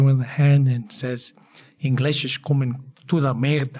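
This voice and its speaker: A man's medium-pitched voice comes out somewhat breathy, with a dark, mellow tone and flat, monotone intonation. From Poland. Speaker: endocrinologist and home cook. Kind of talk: casual interview. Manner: halting, many fillers.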